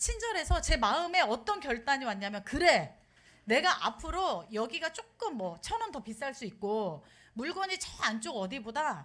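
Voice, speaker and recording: Her tone bright and sharp, a woman speaks at a fairly slow pace in a high pitch that swings very widely. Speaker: pastor's wife preaching. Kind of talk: sermon.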